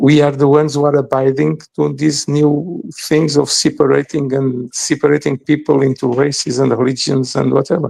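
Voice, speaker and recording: In a Portuguese accent, a man talks at a moderate pace, his fairly high voice dark and mellow in tone, monotone and flat in intonation, with very even loudness. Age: 60s. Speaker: podcast guest commentator. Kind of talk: podcast discussion. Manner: halting, with frequent repetitions.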